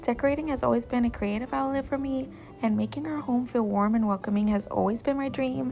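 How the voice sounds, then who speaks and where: Music plays in the background as the speaker talks at a very fast pace. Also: woman. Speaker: lifestyle vlogger. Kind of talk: vlog voiceover. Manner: somewhat polished, commercial-sounding.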